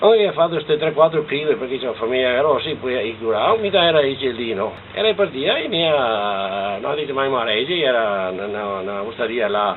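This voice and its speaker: Noticeable background noise sits behind a man with a Venetian accent and medium pitch. He talks at a fairly quick pace with very wide pitch swings. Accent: Trevisan Venetian dialect. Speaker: farmer recalling rural life. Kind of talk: oral history interview. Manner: halting, repeats syllables.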